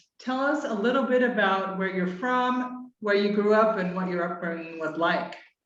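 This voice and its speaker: With an American accent and lively intonation, a woman speaks at a fairly high pitch, and the room echo is audible. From Utah, US. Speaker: podcast host. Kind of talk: interview.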